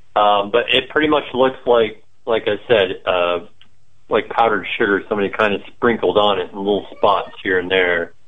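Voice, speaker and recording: A man speaks in a normal speaking voice at a fairly low pitch. His pace is moderate and his pitch varies in an ordinary way. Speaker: cannabis grower. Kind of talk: interview.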